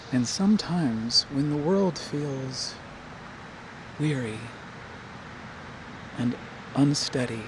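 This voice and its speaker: The speech comes at a very slow pace with long, frequent pauses over noticeable background noise. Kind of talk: ASMR softly spoken reflection. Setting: outdoors.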